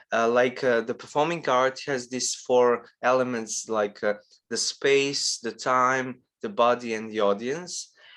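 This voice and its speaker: A man with a non-native accent speaks at a fairly slow pace in a medium pitch. His intonation is fairly even, and the background is quiet. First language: not English. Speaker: lecturer on performance art. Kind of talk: lecture. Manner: halting, many fillers.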